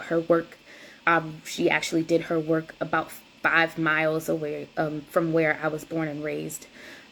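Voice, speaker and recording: Flat, monotone delivery at a moderate pace in a South Carolina Lowcountry accent. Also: woman. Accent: Gullah Geechee, Charleston and country. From US South, rural South Carolina (Cross, near Charleston). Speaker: doula and lactation counselor. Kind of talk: presentation. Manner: hesitant, many fillers.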